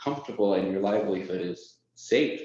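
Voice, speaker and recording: A man's fairly low voice at a moderate pace, with ordinary pitch variation and audible room echo. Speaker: software onboarding lead. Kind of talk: company presentation. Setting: presentation to audience.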